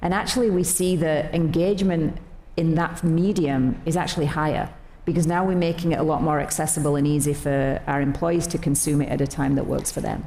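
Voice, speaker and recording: A woman speaks at a fairly quick pace with a very deep, low pitch, very even loudness, and fairly even intonation. Room echo is audible, and background noise is noticeable. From not Australia. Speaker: company executive. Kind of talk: onstage interview.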